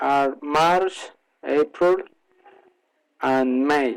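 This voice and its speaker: In a Colombian accent, a man speaks very slowly with a fairly high pitch. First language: Spanish. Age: 30s. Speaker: English learner. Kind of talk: prepared monologue presentation. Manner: halting with frequent fillers.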